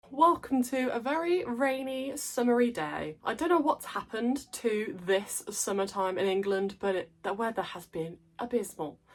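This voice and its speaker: Speaking at a moderate pace with an English accent, a woman uses a fairly high pitch with very wide pitch swings. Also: hardly any pauses. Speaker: plant content creator. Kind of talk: casual vlog talk.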